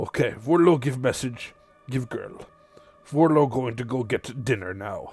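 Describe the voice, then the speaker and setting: A man uses a put-on character voice at a medium pitch. His pace is moderate. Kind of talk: comic monster voice. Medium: actual play. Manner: broken speech, refers to self in third person.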